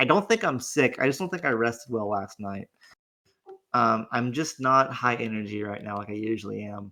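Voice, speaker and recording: A man puts on a raspy character voice at medium pitch, speaking at a moderate pace with ordinary pitch variation. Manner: low energy.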